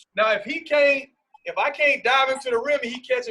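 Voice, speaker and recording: A raised, projected voice comes at a fairly quick pace with ordinary pitch variation. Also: man. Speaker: basketball coach. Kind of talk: coaching clinic on video call.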